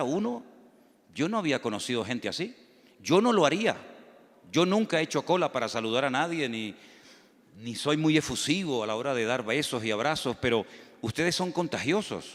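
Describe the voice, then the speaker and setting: A man's pitch swings very widely, and he leaves long, frequent pauses. The recording is very clean, with a silent background. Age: 60s. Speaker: pastor. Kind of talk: sermon. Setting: church.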